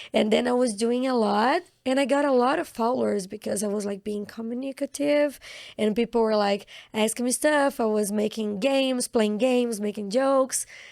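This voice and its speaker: A woman speaks with a Brazilian Portuguese accent at a fairly high pitch and a moderate pace. Her pitch varies in an ordinary way on a very clean recording with a silent background. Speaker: actress. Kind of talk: casual interview chat.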